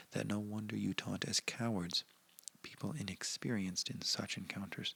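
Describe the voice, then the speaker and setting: Soft-spoken and gentle in tone, the voice moves at a moderate pace. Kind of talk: soft-spoken ASMR reading of a historical speech with commentary. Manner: soft-spoken, gentle.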